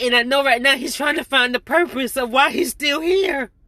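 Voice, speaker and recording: A woman uses a raised, projected voice with a bright, sharp tone and high pitch. She talks at a moderate pace with ordinary pitch variation. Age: middle-aged. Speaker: vlogger. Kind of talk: personal testimony.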